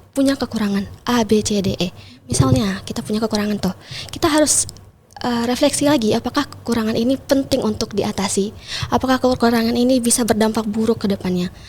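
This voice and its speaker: A woman talks at a very fast pace in a shrill, fairly high voice with ordinary pitch variation. Noticeable background noise can be heard. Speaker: pageant titleholder and MC. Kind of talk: podcast interview.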